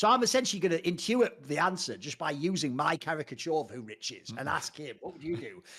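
A man's high-pitched, very fast delivery with hardly any pauses, very wide pitch swings and big swings in loudness. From Northeast England. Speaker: esports pundit. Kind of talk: casual chat. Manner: animated.

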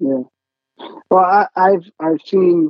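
A fairly slow pace with an American accent. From US Midwest (Michigan). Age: 30s. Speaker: local party chairman and church commentator. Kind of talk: interview. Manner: halting, repeats words.

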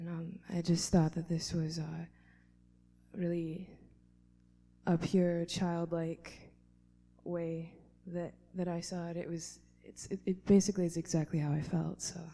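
A woman talks at a fairly slow pace in a fairly low pitch, with a dark, mellow, somewhat breathy tone. Her intonation is monotone and flat, broken by long, frequent pauses. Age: 20s. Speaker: open mic poet. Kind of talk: poetry reading at open mic. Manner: hesitant, filler-heavy.

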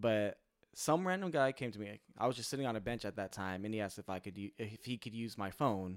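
In a normal speaking voice, a man with a fairly low pitch talks at a fairly quick pace on a very clean recording with a silent background. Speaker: podcast co-host. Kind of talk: casual chat.

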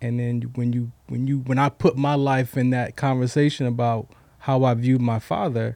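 In a very clean recording with a silent background, a man with an unremarkable speaking voice talks at moderate pace and medium pitch. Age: 50s. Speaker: author and trauma healing speaker. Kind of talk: interview testimony.

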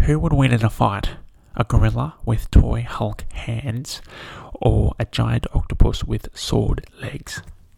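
A man puts on a nasal character voice and talks at a fairly slow pace. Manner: weird, comic.

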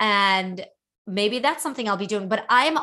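Against a quiet background, a woman with an American accent speaks at a medium pitch in a bright, sharp tone with ordinary pitch variation. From Brooklyn, New York (emigrated from Soviet Union at 8). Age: 40s. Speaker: author. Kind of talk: interview conversation.

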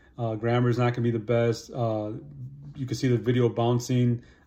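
Over noticeable background noise, a man talks at a fairly quick pace in a monotone, flat delivery. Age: 50s. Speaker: motivational YouTuber. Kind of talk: casual monologue to camera. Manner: casual, filler-heavy.

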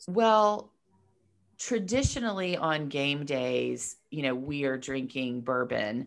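The recording is very clean, with a silent background. A woman speaks at a fairly slow pace. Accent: American. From Georgia, US (Marietta, north of Atlanta). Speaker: publicist and entrepreneur. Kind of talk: casual interview.

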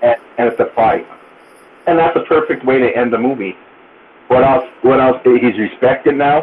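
Over noticeable background noise, a man speaks at a moderate pace and medium pitch with ordinary pitch variation, very even loudness, and long, frequent pauses. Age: 40s. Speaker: podcast guest. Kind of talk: casual chat.

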